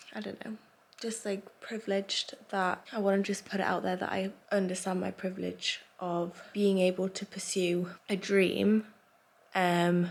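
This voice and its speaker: A woman's monotone, flat-toned voice with an English accent, at a moderate pace. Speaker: vlogger and small business owner. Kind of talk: casual vlog talk. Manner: chatty, filler-heavy.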